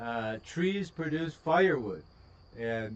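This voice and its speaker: This man's pitch swings very widely as he talks with an American accent. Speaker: livestreamer, farm owner. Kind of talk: casual livestream chat and video reaction. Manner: casual, many fillers and hesitations.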